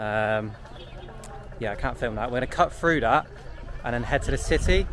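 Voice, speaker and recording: The man talks at a moderate pace in a dry, echo-free sound, with noticeable noise in the background. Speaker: travel vlogger. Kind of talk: casual vlog chat. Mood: excited, curious. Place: open country. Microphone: phone near.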